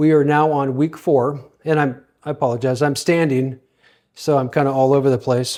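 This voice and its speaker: This man's voice is medium in pitch with a dark, mellow tone, delivered at a moderate pace in a monotone, flat intonation. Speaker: self-help author. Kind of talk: motivational talk. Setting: home office. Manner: halting; casual.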